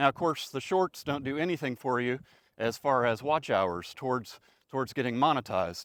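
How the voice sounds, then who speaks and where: In a very clean recording with a silent background, a man speaks at a moderate pace and medium pitch, the sound dry and close with no echo. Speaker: retiree vlogger. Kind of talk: informal vlog monologue. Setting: outdoors on a country road. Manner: monotone; halting, many fillers.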